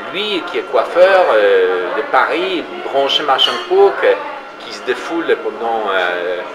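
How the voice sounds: A man talks at a fairly slow pace with big pitch swings. Clear background noise runs behind him. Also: medium pitch for a man.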